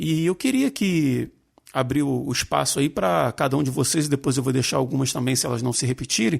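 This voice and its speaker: A man with a normal speaking voice talks at a fairly quick pace, his pitch medium with ordinary variation and his loudness very even. The recording is very clean, with a silent background. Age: 40s. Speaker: podcast host. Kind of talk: casual chat.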